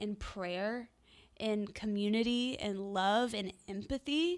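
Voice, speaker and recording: With an American accent and an unremarkable speaking voice, a woman talks in fairly even intonation on a very clean recording with a silent background. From US South, Nashville. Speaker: singer. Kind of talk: casual chat.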